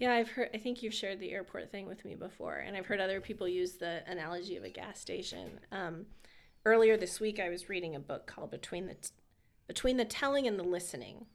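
Talking very fast with an American accent, a woman at a medium pitch shows vocal fry, ordinary pitch variation, and big swings in loudness. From California. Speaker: pastor. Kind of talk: casual chat.

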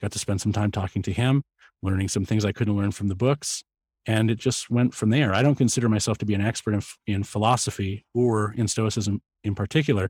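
A somewhat breathy man with a fairly low pitch talking at a very fast pace in fairly even intonation, dry and close with no echo, on a very clean recording with a silent background. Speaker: podcaster. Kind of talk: casual interview chat. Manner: thoughtful, opinionated.

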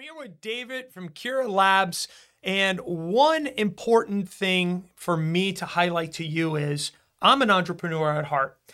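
Big swings in loudness mark this man's raised, projected voice, high-pitched with a bright, sharp tone and lively intonation at a fairly slow pace. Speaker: union podcast host. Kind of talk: casual interview. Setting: studio.

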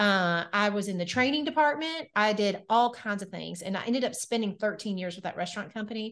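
A woman with a Southern US accent talks at a fairly quick pace with hardly any pauses against a quiet background. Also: medium pitch for a woman, ordinary pitch variation. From Nashville, Tennessee. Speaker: weight loss coach and entrepreneur. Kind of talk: podcast interview. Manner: animated.

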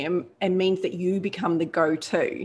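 A woman is speaking. She has a New Zealand accent. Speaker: podcast host. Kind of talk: interview.

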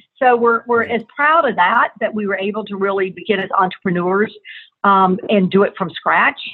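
Using an American accent, a woman has an unremarkable speaking voice, a medium pitch and ordinary pitch variation. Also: moderate pace. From US South. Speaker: advertising agency owner. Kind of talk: interview. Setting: phone call.

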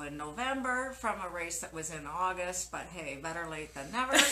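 With a Canadian accent, a woman speaks at a fairly low pitch amid noticeable background noise and audible room echo. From Canada, Winnipeg. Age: 60s. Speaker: masters cyclocross and mountain bike racer. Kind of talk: casual interview.

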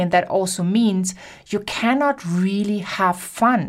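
A woman with a German accent speaks in an animated, enthusiastic tone at a medium pitch with ordinary pitch variation. The recording is very clean, with a silent background. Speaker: podcast host, business coach.

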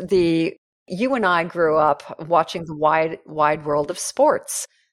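A woman with an unremarkable speaking voice and a fairly low pitch speaks at a fairly slow pace. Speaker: podcast host and professional speaker. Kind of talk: interview, casual chat. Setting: video call.

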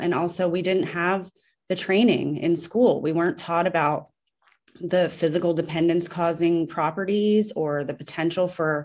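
On a very clean recording with a silent background, a normal speaking voice holds fairly even intonation. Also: woman. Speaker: former physician assistant, withdrawal survivor. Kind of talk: interview conversation.

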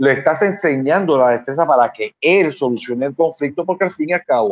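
A man talks at a fairly quick pace in a normal speaking voice. The sound is dry and close, with no echo. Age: 50s. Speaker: psychologist. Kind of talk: casual interview.

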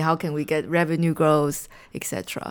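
In a very clean recording with a silent background, a woman with a Chinese accent speaks at a fairly slow pace in a fairly low pitch. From Taiwan. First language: Mandarin Chinese. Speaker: marketing executive and author. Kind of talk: interview conversation. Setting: studio.

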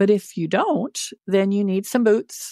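Recorded very cleanly, dry and close with no echo and a silent background, a woman at medium pitch speaks in an animated tone at a moderate pace. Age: 60s. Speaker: retiree. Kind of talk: casual chat.

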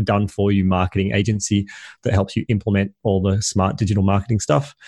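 A man talks very fast in a dark, mellow, somewhat breathy voice of fairly low pitch. His intonation stays fairly even, and the sound is dry and close with no echo. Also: quiet background. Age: 30s. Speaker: entrepreneur and podcast host. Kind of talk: casual interview chat.

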